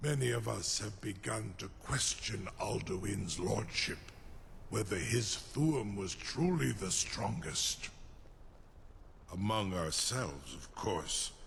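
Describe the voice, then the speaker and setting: Over clear background noise, a man puts on a character voice, fairly low in pitch and at a fairly slow pace. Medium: video game. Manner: measured, imperious, sly.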